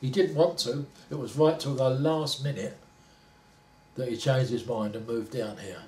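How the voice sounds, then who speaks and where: A man with a Cockney accent speaks at a medium pitch with ordinary pitch variation. He leaves long, frequent pauses, and background noise is noticeable. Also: moderate pace. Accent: Cockney London English. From London. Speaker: retired factory worker. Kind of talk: oral history interview.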